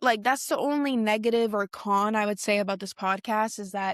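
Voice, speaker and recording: With an animated tone and a fairly high pitch, a woman talks at a moderate pace, the sound dry and close with no echo. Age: 20s. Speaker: podcast host. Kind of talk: casual solo podcast talk.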